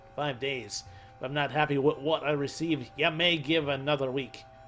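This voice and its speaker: A man uses a gruff, put-on character voice at a moderate pace. Music is clearly heard in the background. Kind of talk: archaic, threatening. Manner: menacing, commanding.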